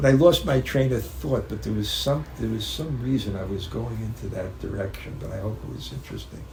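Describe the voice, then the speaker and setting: With an American accent, a man with a very deep, low pitch talks at a fairly quick pace, making very wide pitch swings and big swings in loudness against noticeable background noise. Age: 70s. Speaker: spiritual teacher. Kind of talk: religious talk. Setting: home gathering with audience. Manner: halting.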